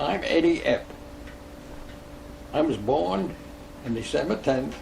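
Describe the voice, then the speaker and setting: Speaking fairly slowly with an American accent, a man is heard amid noticeable background noise and audible room echo. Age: 90s. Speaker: war veteran. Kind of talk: oral history interview. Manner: halting.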